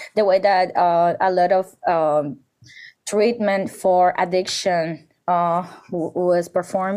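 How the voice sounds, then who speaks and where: A woman speaks with a Spanish accent. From Dominican Republic. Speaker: curator and artist. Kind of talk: interview conversation.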